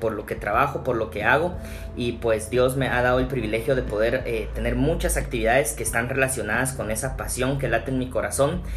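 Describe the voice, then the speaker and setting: Over music in the background and audible room echo, a man talks at a fairly quick pace. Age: 30s. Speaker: pastor. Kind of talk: casual interview chat. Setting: at his home. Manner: hesitant, many fillers and repetitions.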